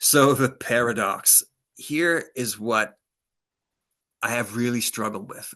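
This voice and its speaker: Bright and sharp, a man's medium-pitched voice carries an animated tone over a quiet background. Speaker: AI panelist, environmental education evaluator. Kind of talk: panel presentation. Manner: fast.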